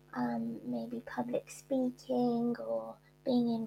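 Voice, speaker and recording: In a British accent, a woman speaks at a very slow pace. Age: 40s. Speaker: author and shyness campaigner. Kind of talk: interview.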